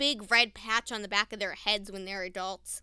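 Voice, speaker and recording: A woman talks at a moderate pace in an animated tone. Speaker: podcast host and nature center educator. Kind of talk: casual solo monologue.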